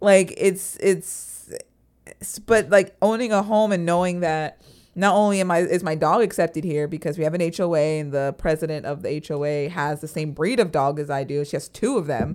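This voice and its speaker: In a very clean recording with a silent background, a woman with an American accent and a normal speaking voice talks at a fairly low pitch and moderate pace, with ordinary pitch variation. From Florida. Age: 20s. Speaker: podcast co-host. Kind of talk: casual chat.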